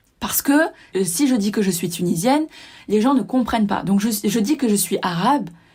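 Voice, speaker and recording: A woman's somewhat breathy voice at a medium pitch, with lively intonation and a moderate pace. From southern France. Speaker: personal development podcaster. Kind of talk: casual monologue.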